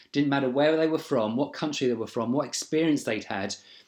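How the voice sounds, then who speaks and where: Fairly quick speech in a southern English accent, with ordinary pitch variation, on a very clean recording with a silent background. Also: man. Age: 40s. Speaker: job applicant, training manager. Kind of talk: video job application, personal introduction. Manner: hesitant, frequent fillers.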